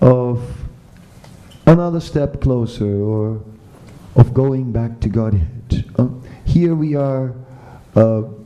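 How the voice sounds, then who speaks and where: A man speaks at a very slow pace with long, frequent pauses. Room echo is audible in the recording. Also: medium pitch for a man, ordinary pitch variation. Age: 60s. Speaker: spiritual teacher. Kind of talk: lecture. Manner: halting.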